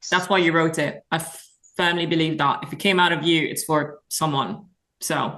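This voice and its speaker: A woman's fairly low-pitched voice, bright and sharp in tone, monotone and flat, at a moderate pace. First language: French. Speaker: singer-songwriter. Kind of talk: casual chat.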